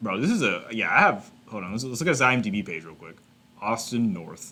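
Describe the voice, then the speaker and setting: In an American accent, a man talks at a fairly quick pace with very wide pitch swings, a bright, sharp tone and vocal fry. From Texas, Houston. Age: 20s. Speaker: YouTuber. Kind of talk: casual reaction commentary. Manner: animated.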